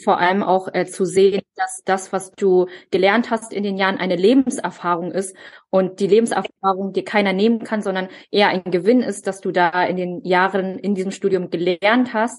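A woman speaks with a medium pitch. Her intonation is fairly even and her pace moderate. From Germany, child of immigrant parents. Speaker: podcast co-host. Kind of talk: casual chat. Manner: hesitant, many fillers.

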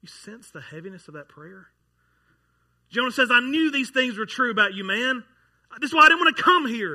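A man's raised, projected voice at an extremely high pitch, with very wide pitch swings, big swings in loudness, a moderate pace and long, frequent pauses. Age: 30s. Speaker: pastor. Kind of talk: sermon. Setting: church.

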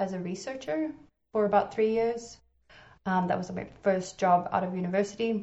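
A woman speaks at medium pitch with fairly even intonation. She has a slight South African accent. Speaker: game developer. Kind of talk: casual interview.

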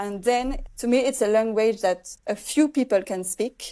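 Speaking at a moderate pace, a woman with a French accent has a dark, mellow tone. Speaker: filmmaker. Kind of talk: interview. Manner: halting.

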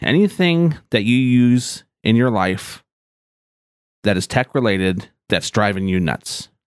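Lively intonation marks an ordinary speaking voice at a moderate pace. The recording is very clean, with a silent background. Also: man. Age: 40s. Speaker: tech podcast host and IT manager. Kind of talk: scripted podcast intro monologue.

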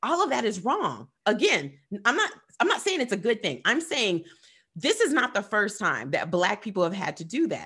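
A woman with an American accent speaks in an animated, bright, sharp tone at a moderate pace against a quiet background. Her fairly high voice has vocal fry and very wide pitch swings. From US, military town. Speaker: podcast co-host. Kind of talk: casual chat.

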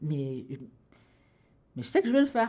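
The speaker is a woman with a somewhat breathy voice. She talks at a fairly quick pace. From Cameroon. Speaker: writer and comedian. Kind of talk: casual interview chat.

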